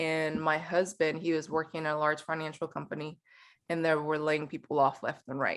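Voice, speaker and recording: In a very clean recording with a silent background, a woman with a Spanish accent speaks at a moderate pace in a very deep, low pitch. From Mexico City, Mexico. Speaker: company founder. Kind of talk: podcast interview. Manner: conversational, with repetitions and fillers.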